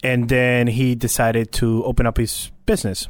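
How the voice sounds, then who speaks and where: A man with a Spanish accent at medium pitch and a moderate pace. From Puerto Rico. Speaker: radio production staffer and military veteran. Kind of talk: casual interview chat. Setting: studio.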